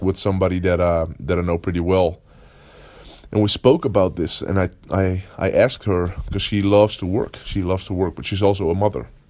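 In a Dutch accent, a man speaks very fast with a very deep, low, dark and mellow voice. His intonation is fairly even. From Netherlands. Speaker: podcast host, productivity coach. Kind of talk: casual solo monologue. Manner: halting, many fillers and repetitions.

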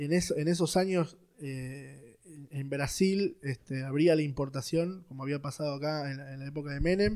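A man speaks at a moderate pace with a dark, mellow tone and a fairly high pitch, his loudness swinging widely and his pitch varying normally, in a very clean recording with a silent background. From Buenos Aires, Argentina (Villa Devoto). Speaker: security company founder. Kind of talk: casual interview. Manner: halting, many fillers.

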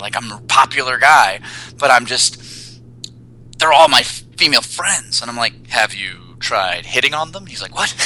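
Noticeable background noise behind a male speaker at moderate speed, pitch varying in an ordinary way. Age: 30s. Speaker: personal trainer and dating coach. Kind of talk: casual chat.

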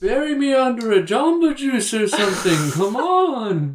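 In a put-on character voice, the speaker uses a fairly high pitch with very wide pitch swings at a moderate pace. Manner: comedic.

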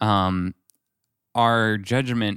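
Monotone and flat, a man speaks in a fairly low pitch. The recording is very clean, dry and close, with a silent background and no echo. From France. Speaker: podcast host, company co-founder. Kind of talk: interview.

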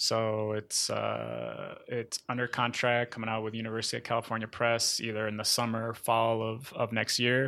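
In a very clean recording with a silent background, a man with an American accent speaks at a moderate pace with hardly any pauses, his bright, sharp tone at medium pitch and his intonation monotone and flat. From northern Mexico and US Midwest. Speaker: professor. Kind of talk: casual interview.

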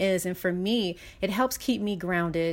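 A woman talks at a moderate pace with ordinary pitch variation. The recording is very clean, with a silent background. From US West Coast, South Central Los Angeles. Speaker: writer and wellness platform founder. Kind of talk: casual interview chat.

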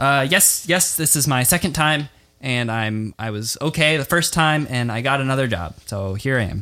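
Using a put-on character voice, a man speaks at medium pitch and a moderate pace, sounding shaky and nervous with lively intonation. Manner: shaky, nervous, unsure.

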